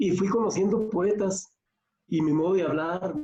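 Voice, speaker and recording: Dark, mellow tone from a man, fairly slow in pace, with ordinary pitch variation. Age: 60s. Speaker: poet in audience. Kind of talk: audience comment in a discussion.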